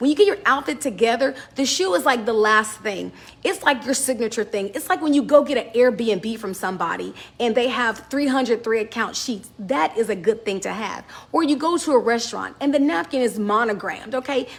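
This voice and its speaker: Amid noticeable background noise, a woman talks at a fairly quick pace and a fairly high pitch, with an animated tone and lively intonation. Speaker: business fashion vlogger. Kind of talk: casual advice talk to camera. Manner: loud.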